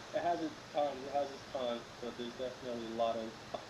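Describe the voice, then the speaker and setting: A man with an American accent at a medium pitch and very fast pace, amid noticeable background noise and audible room echo. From Los Angeles. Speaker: young entrepreneur. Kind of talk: casual interview.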